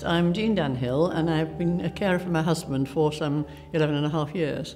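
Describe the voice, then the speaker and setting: With a South Yorkshire accent, the speaker talks at a fairly quick pace over noticeable background noise. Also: woman, very deep, low pitch for a woman, ordinary pitch variation. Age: 80s+. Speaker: carer for her husband. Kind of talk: testimony.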